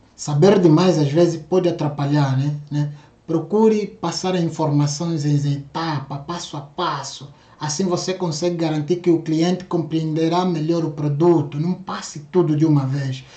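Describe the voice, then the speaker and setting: Over audible room echo, a man with a dark, mellow tone and fairly high pitch speaks at a fairly slow pace with fairly even intonation. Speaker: sales trainer. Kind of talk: online course lecture.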